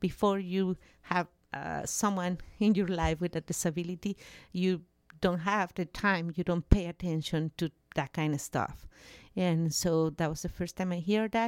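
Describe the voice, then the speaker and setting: A woman speaks at a moderate pace with a Mexican accent. Her pitch is fairly low, her intonation fairly even, and the sound dry and close with no echo. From Mexico. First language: Spanish. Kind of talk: casual interview. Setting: studio.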